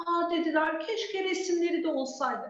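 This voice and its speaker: An animated woman's voice at an extremely high pitch and a fairly slow pace, audible room echo around it but a quiet background. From Istanbul, Turkey; Turkey. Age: 40s. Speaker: children's book author and preschool teacher; preschool teacher. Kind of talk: talk with young children online. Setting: video call. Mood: warm storytelling tone. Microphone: video call.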